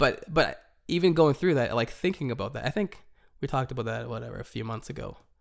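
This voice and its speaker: Very fast and full of lively intonation, a man talks at a medium pitch with vocal fry. The recording is very clean, with a silent background. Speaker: podcast co-host, church worker. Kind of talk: casual conversational podcast chat.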